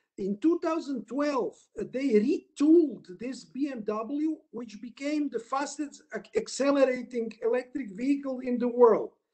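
A man's extremely high voice with a Croatian accent, very slow pace, ordinary pitch variation and big swings in loudness, against a quiet background. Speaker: lawyer, panelist; lawyer presenting his country's market. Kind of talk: webinar presentation. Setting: video call. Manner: halting. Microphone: video call.

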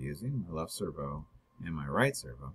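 A man speaking at a fairly quick pace against a quiet background. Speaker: instructor. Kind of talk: tutorial.

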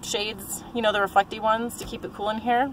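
A woman is speaking. The sound is dry with no echo, with light background noise. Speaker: van life vlogger. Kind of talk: casual vlog chat. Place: car. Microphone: phone near.

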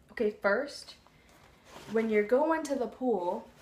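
The voice is a woman's. Audible room echo is present. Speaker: vlogger. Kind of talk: casual vlog chat. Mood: playful, light. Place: home room. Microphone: phone near.

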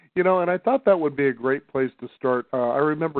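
Against a quiet background, a man talks at a very fast pace, the sound dry with no echo. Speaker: radio show host. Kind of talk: interview question. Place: studio.

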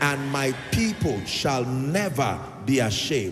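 A man talks at a very slow pace. Noticeable background noise runs under his voice. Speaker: preacher. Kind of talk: sermon. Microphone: handheld.

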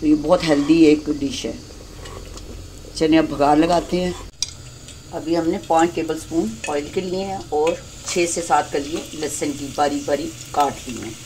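A woman's low, dark, mellow voice with ordinary pitch variation at a moderate pace, over faint background noise

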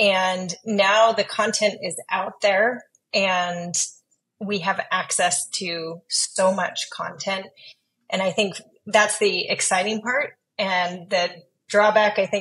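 This woman speaks at a very slow pace. Her intonation stays fairly even. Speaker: podcast guest. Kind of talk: interview answer. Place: home room. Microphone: earbuds.

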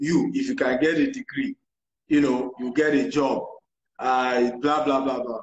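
A man talks somewhat slowly amid noticeable echo from the room. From Nigeria, Maiduguri; Nigeria. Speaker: real estate entrepreneur and financial coach; financial coach. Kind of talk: interview on a social media live stream. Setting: online live video stream. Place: home room. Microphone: video call.

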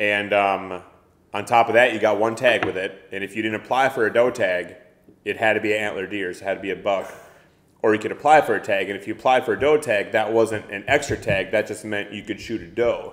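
A man's fairly low-pitched voice with an Upper Midwest accent, ordinary pitch variation and a fairly quick pace. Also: big swings in loudness. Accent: Upper Midwest (Minnesota). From Minnesota, near Minneapolis. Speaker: outdoor photographer and kayak angler. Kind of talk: casual chat.

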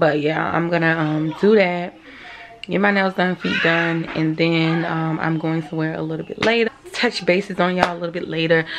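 A woman talks at a fairly quick pace with a fairly low pitch, and noticeable background noise is heard. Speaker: vlogger. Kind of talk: casual vlog chat. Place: home room. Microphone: phone near.

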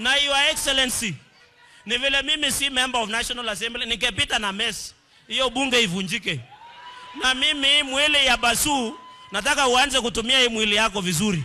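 A man with an extremely high pitch raises and projects his voice in an animated tone at a moderate pace. His pitch variation is ordinary, and there is light background noise. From Kenya. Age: young. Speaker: politician. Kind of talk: political rally speech. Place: hall. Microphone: handheld.

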